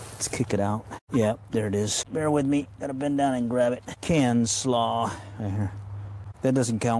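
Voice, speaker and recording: With an American accent, a man talks at a moderate pace and ordinary pitch variation over noticeable background noise. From Texas. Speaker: metal detecting streamer. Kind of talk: live stream commentary while detecting. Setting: outdoors in a park, light rain. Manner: casual, talking to himself.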